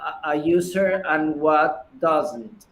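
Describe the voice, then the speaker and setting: In a room with audible echo, a man with a fairly high pitch speaks at a very slow pace, his pitch varying in an ordinary way. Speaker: startup founder. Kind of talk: pitch Q&A. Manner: halting, many repetitions.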